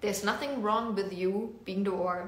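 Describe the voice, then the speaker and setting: A woman with a German accent, amid audible room echo and noticeable background noise. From Germany. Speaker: business coach. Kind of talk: casual social media talk.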